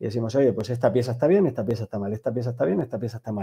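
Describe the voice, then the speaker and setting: Against a quiet background, a man with a Canarian accent speaks in a dark, mellow tone with ordinary pitch variation. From Canary Islands (Tenerife). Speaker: tech company executive. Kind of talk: interview. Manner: hesitant with repetitions.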